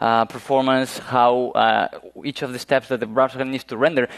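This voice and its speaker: In a Spanish accent, a man talks at medium pitch with monotone, flat intonation. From Spain, Galicia (northwest). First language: Spanish or Galician. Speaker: web performance engineer. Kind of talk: conference talk. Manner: halting, many fillers.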